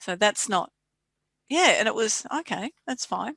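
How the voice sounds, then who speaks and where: A woman with an Australian accent, a bright, sharp tone, vocal fry and lively intonation, in a dry, close sound with no echo over a quiet background. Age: 60s. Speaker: podcast host. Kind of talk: podcast interview. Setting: podcast recording.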